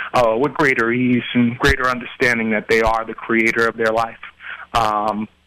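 Here a man speaks in a normal speaking voice with an American accent. His pitch is medium and his pace moderate. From Queens, New York. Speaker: website owner and entrepreneur. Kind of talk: casual interview chat.

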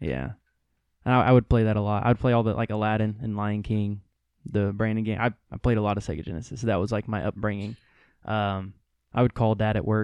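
A man with fairly even intonation, dry and close with no echo, over a quiet background. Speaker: guest.

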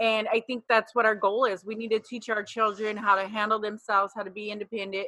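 A woman talks at a fairly quick pace with a fairly high pitch. The sound is dry and close with no echo. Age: 40s. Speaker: wife in polygamous family. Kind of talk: casual interview chat. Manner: self-described bulldog, assertive.

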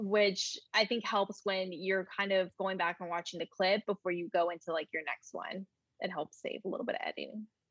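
A woman with a Southern US accent speaks at medium pitch with fairly even intonation. Her moderate pace comes through in a dry, close sound with no echo. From North Carolina. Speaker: lifestyle blogger and YouTuber. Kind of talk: casual interview chat.

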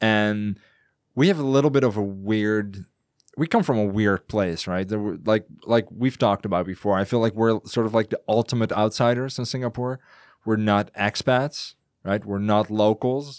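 A man with a Dutch accent speaks at a moderate pace and fairly low pitch with ordinary pitch variation, the sound dry and close with no echo. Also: very clean recording, silent background. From Netherlands. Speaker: podcaster. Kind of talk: casual chat. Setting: studio.

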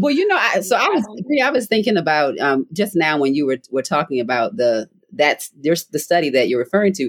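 A woman with an American accent and a very deep, low pitch talks at a fairly quick pace, her loudness very even and her pitch swinging very widely, in a dry, close recording with no echo. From Baltimore, US. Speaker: podcast host. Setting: parents' basement, remote.

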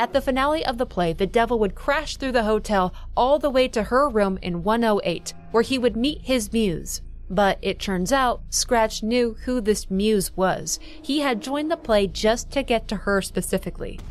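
A woman talks at a moderate pace with a fairly high pitch and lively intonation. Her tone is intense, and music plays in the background. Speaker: video essayist narrating game lore. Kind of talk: dramatic narration of game story. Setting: online video voiceover. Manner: ominous, measured, gravely intense storytelling.

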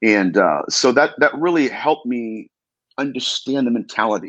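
Lively in intonation and fairly bright in tone, a man talks at a moderate pace and medium pitch.

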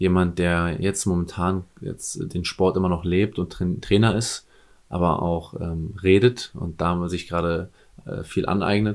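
A man's very deep, low voice, very slow and fairly even in intonation, in a very clean recording with a silent background. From eastern Germany, near the Polish border. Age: 30s. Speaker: sports coach and former nightclub bouncer. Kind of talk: casual chat.

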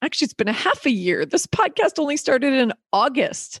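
A woman talks in an animated tone with lively intonation, the sound dry and close with no echo. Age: 50s. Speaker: podcast host. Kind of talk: casual chat; scripted narration.

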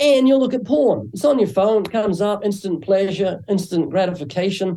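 A man with a slight New Zealand accent speaks at a moderate pace. His tone is dark and mellow, and somewhat breathy. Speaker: evangelist and author. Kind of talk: interview.

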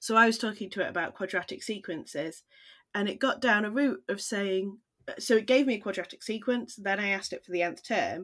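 A woman with a British accent speaks in a fairly high voice. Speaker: maths teacher and podcast co-host. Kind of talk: casual chat.

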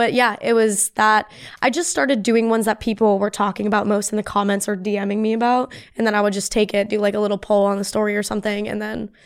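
Very clean with a silent background, the recording has a woman with an American accent talking at a very fast pace, at a medium pitch with fairly even intonation. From US, grew up bicoastal. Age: 20s. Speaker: community founder, content creator. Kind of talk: casual chat.

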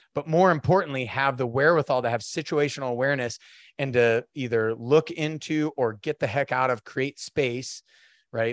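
An ordinary speaking voice from a man with an American accent, medium in pitch, moderate in pace, with ordinary pitch variation and a dry, close sound with no echo. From North Idaho. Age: 40s. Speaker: Marine veteran and fatherhood speaker. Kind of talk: casual chat.

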